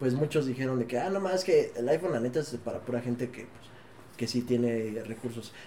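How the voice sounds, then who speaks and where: At a fairly quick pace, a man talks at a medium pitch with ordinary pitch variation and big swings in loudness, with noticeable background noise. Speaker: podcast host. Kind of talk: casual chat. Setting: studio.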